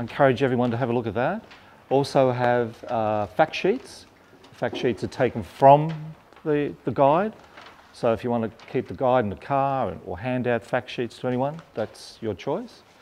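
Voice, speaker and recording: A man's speech holds a moderate pace, its pitch varying in an ordinary way. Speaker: presenter. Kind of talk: informal presentation to growers. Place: hall.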